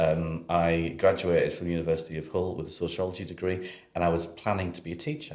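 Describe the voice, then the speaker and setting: In a northeast English accent, a man talks at a very fast pace with a very deep, low pitch and monotone, flat intonation, his loudness swinging widely amid audible room echo. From northeast England, Sunderland. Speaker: university library director. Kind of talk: casual interview.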